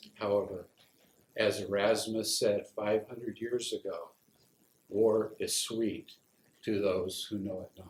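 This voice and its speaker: A man with an American accent at a very slow pace, with long, frequent pauses and big swings in loudness. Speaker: war veteran. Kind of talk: poetry reading.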